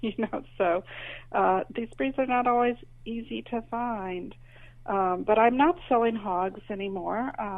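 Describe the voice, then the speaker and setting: The delivery comes at a fairly slow pace with lively intonation. It is a plain, everyday voice. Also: woman, fairly high pitch for a woman. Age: 60s. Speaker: author and heritage livestock breeder. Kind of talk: interview. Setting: podcast.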